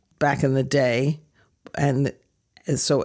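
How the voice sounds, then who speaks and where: In a very clean recording with a silent background, a woman speaks at a very deep, low pitch with vocal fry. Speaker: nurse practitioner. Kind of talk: interview.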